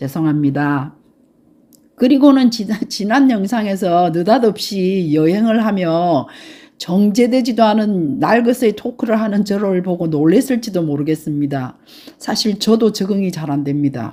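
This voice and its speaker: A woman's medium-pitched, dark and mellow voice at a fairly slow pace, with very wide pitch swings, on a very clean recording against a silent background. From Gyeongsang province, South Korea. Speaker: travel YouTuber. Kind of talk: casual vlog talk. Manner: unpolished, awkward.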